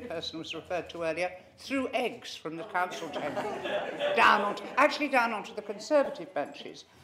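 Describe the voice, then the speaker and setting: A woman speaks fairly quickly, and background noise is noticeable. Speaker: retiring councillor. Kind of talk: acceptance speech. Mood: humorous, reminiscing. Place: meeting room.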